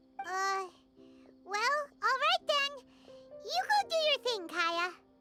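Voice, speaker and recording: Faint music plays behind a squeaky, extremely high put-on character voice that speaks at a very slow pace. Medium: video game. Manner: blunt, excitable.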